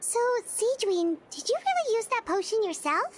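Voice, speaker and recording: In a put-on character voice, a woman squeaks at an extremely high pitch for a woman, keeping a moderate pace. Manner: surprised.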